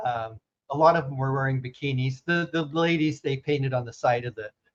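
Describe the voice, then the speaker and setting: A man talks at a moderate pace in a fairly high pitch, sounding somewhat breathy. His pitch varies in an ordinary way. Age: 70s. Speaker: storyteller and former evangelical. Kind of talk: podcast interview. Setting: podcast recording. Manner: halting.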